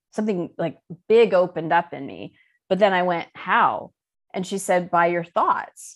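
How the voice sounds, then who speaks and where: In a quiet background, a woman with an ordinary speaking voice talks at a moderate pace and a fairly low pitch, with ordinary pitch variation. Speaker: life coach and spiritual teacher. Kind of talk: interview.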